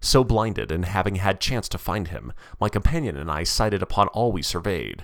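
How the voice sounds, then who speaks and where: A man speaks at a fairly quick pace in a very deep, low voice with vocal fry and lively intonation, on a very clean recording with a silent background. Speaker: narrator reading a student's paper. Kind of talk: epic poem reading, narrated aloud in dense rhyming verse. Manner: measured, lyrical, sing-song cadence with rhyme and dramatic emphasis.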